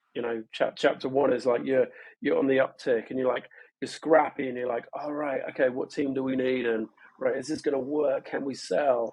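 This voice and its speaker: A man's medium-pitched voice holds a monotone, flat intonation and moves at a moderate pace. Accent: London. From London, England. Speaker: startup co-founder. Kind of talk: podcast interview. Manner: hesitant, many fillers and repetitions.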